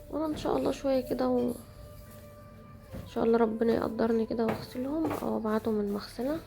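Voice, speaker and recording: With music in the background, the speaker talks at a fairly quick pace. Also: woman. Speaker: home vlogger. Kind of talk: casual vlog narration.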